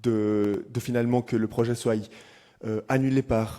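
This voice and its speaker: With a dark, mellow tone, a man speaks at medium pitch in a monotone, flat delivery. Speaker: climate activist. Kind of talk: panel discussion. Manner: halting.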